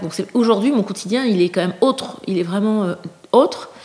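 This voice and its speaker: A woman talks at a moderate pace in an unremarkable speaking voice. Her pitch is medium with ordinary pitch variation. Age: 50s. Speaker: person living with a mental illness. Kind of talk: testimony.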